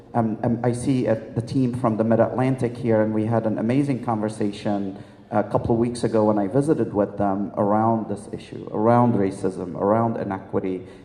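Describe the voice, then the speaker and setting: A man speaks fairly quickly, with noticeable background noise throughout. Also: medium pitch for a man, fairly even intonation, hardly any pauses. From Lebanon. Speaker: health system executive and physician. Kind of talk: panel discussion.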